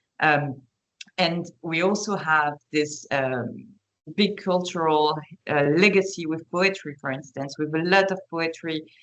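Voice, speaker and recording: Speaking with a French accent at a fairly slow pace, a woman uses a fairly low pitch with ordinary pitch variation. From France. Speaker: panelist. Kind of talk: webinar panel talk. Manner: halting, many fillers.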